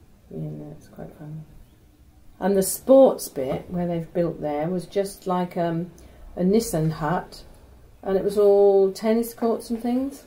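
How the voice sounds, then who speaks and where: Fairly slow, lively speech from a woman in a Norfolk accent, medium pitch, dark, mellow tone, somewhat breathy. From Norwich, Norfolk, England. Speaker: retired university secretary. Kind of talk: oral history interview.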